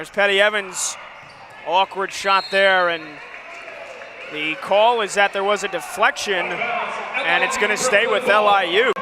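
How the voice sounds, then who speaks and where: A man projects his high voice with ordinary pitch variation, at a fairly slow pace with long, frequent pauses. Background noise is noticeable. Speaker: sports play-by-play announcer. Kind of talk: live basketball play-by-play commentary.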